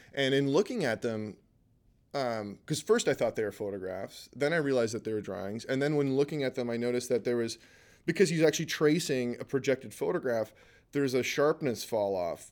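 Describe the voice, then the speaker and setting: A man with an unremarkable speaking voice at a medium pitch, lively intonation and a fairly quick pace, in a very clean recording with a silent background. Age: 40s. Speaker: artist and photographer. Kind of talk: casual chat.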